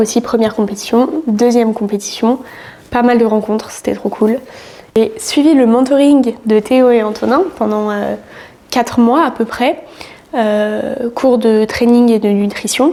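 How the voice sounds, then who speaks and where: Fairly slow speech from a woman at a fairly high pitch, fairly even intonation, noticeable background noise behind her. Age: 20s. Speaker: fitness coach and bodybuilding athlete. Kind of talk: casual vlog talk to camera. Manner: hesitant, many fillers.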